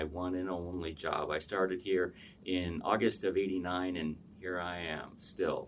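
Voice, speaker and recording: Very deep, low pitch from a man with an American accent, at a fairly slow pace. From US Midwest, south side of Chicago. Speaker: professor. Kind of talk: interview.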